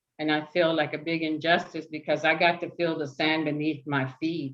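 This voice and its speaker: A woman with an American accent talks at a moderate pace in a very deep, low pitch. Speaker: community organizer. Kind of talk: panel discussion. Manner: hesitant, many fillers.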